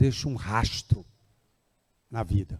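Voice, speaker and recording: A man speaks at medium pitch with a dark, mellow tone, somewhat breathy and with fairly even intonation, in a dry, close sound with no echo. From Ceará, Brazil. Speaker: agricultural development foundation representative. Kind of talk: public speech at event. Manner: conversational, informal.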